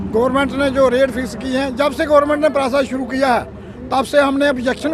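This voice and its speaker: Against crowd noise in the background, a man speaks at a moderate pace in an extremely high pitch with monotone, flat intonation. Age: 70s. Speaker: village head. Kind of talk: street interview.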